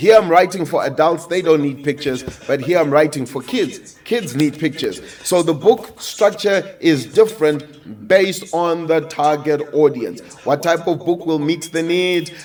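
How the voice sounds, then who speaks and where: Over noticeable background noise, a man in an animated tone speaks at a fairly high pitch with ordinary pitch variation. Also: moderate pace. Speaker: business and publishing coach. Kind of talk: coaching talk.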